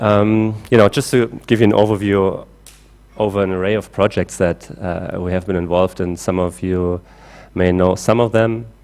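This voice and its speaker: In a German accent, a man speaks at a moderate pace with a fairly low pitch and fairly even intonation. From Germany. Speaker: climate engineer. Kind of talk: conference talk. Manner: halting with many fillers.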